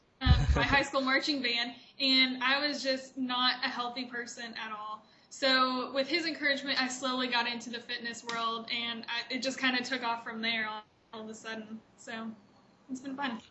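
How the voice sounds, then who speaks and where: Over noticeable background noise, a high-pitched woman with an American accent speaks in a flat, monotone way. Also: moderate pace. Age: 20s. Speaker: fitness competitor. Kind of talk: interview.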